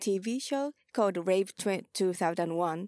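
A woman with a Japanese accent is heard in a dry, close sound with no echo. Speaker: ballroom house mother and vogue dancer. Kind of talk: casual interview. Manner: halting.

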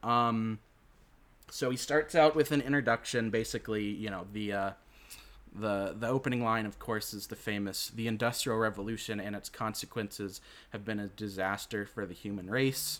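At a moderate pace, a man speaks fairly low with fairly even intonation. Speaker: podcast host. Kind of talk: casual chat. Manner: halting.

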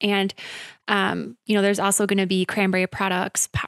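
In an American accent, a woman speaks at a medium pitch, recorded with a dry, close sound and no echo. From central Wisconsin, US. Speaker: chamber of commerce events and marketing director. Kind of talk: radio interview. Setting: radio studio.

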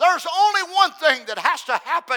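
A man's raised, projected voice rings out at an extremely high pitch with a bright, sharp tone. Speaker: preacher. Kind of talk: sermon. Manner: repetitive emphatic delivery.

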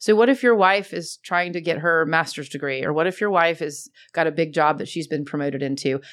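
A woman with an American accent and an unremarkable speaking voice talks fairly quickly at a fairly low pitch with hardly any pauses, on a very clean recording with a silent background. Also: ordinary pitch variation. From Atlanta, US South. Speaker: commercial real estate executive. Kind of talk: interview.

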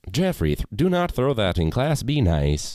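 Putting on a robotic character voice, a man at a medium pitch speaks at a fairly slow pace with very wide pitch swings. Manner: scolding.

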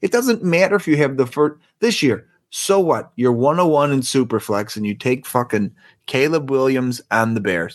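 Speaking at medium pitch with lively intonation, a man has an unremarkable speaking voice. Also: moderate pace. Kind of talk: casual banter, profane. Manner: laid-back, laughing, profane.

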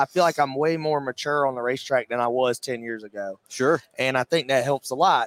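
An ordinary speaking voice with an American accent, moderate pace and a dry, close sound with no echo. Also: man. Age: 20s. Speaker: race car driver. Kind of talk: interview. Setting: trade show floor.

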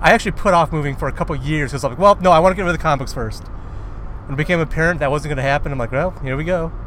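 Vocal fry runs through a man's fairly high voice as he talks at a very fast pace. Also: ordinary pitch variation. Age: 40s. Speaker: podcast co-host. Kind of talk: casual chat. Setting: in a car.

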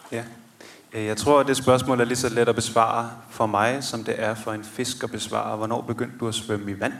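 The speech comes at a moderate pace with monotone, flat intonation. Audible room echo surrounds it. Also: man, medium pitch for a man. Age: 30s. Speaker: theologian. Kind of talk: live podcast interview. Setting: stage with audience of about 80.

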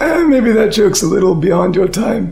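A raspy, put-on character voice sits at a middle pitch. It moves at a moderate pace over light background noise. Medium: actual play. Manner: folksy, joking.

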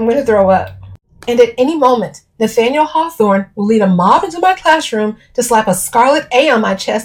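Plain reading aloud with lively intonation sits against a quiet background.

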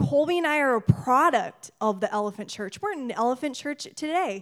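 A woman talks loudly at a moderate pace, her high pitch swinging very widely. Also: very clean recording, silent background. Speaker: missionary. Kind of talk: sermon. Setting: church.

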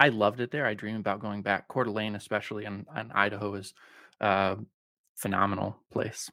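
Speaking at a fairly quick pace, a man with an American accent has a fairly low pitch and a bright, sharp tone. His intonation is monotone and flat, on a very clean recording with a silent background. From Colorado. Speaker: writer and podcast host. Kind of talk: casual chat. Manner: calm, radio-like delivery.

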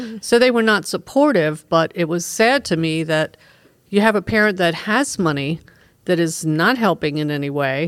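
A woman's unremarkable speaking voice, fairly low in pitch, with an American accent, lively intonation and a moderate pace. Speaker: librarian and podcast host. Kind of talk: casual chat about books.

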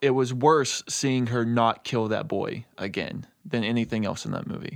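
A man with an American accent speaks in an ordinary speaking voice at a medium pitch with fairly even intonation. The recording is very clean, with a silent background. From Texas. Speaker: guest, horror fan. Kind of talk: casual chat.

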